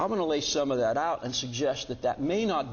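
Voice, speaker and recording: A man talking at a fairly quick pace amid audible room echo and noticeable background noise. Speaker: bioethics professor. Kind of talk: lecture. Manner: fast; halting with many fillers.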